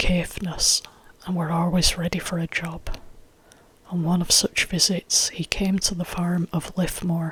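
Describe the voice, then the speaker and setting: The voice is soft-spoken. It comes out as a whisper. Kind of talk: ASMR folktale reading. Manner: soft-spoken, whispered.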